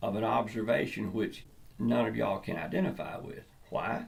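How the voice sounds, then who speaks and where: A man talks at a moderate pace with a Georgia accent. Audible room echo and noticeable background noise surround his voice. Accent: Southern US (Georgia). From US South, South Georgia. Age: 70s. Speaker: comedian. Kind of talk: storytelling monologue. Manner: halting, repeats words.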